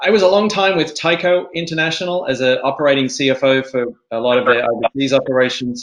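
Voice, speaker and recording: With an Australian accent, a man speaks at a fairly quick pace and a medium pitch with ordinary pitch variation. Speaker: angel investor. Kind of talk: panel discussion.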